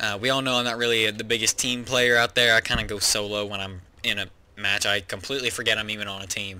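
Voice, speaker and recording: A man talks at a very fast pace with a fairly low pitch, a bright, sharp tone and fairly even intonation. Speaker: gaming youtuber. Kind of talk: game build tutorial. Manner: casual, many fillers.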